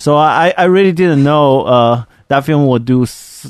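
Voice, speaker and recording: A man speaks with a Chinese accent and lively intonation. The background is quiet. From China. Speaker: artist, podcast co-host. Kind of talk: casual chat.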